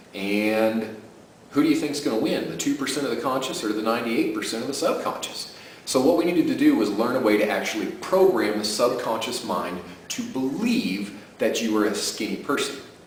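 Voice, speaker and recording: Against noticeable background noise, a man speaks at a fairly quick pace in an enthusiastic tone. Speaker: sleep program creator and host. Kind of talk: casual talk to camera promoting a product. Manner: conversational, enthusiastic, persuasive.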